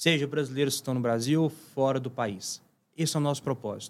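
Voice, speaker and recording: A man talks at a fairly quick pace with a fairly high pitch and ordinary pitch variation. He has an ordinary speaking voice. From Minas Gerais, Brazil (Uberlândia). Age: 30s. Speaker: startup CEO. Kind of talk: interview.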